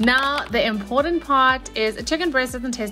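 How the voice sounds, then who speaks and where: Against clear music in the background, a woman speaks at a moderate pace with ordinary pitch variation. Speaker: fitness food vlogger. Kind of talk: casual cooking tutorial. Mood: cheerful, joking. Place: kitchen.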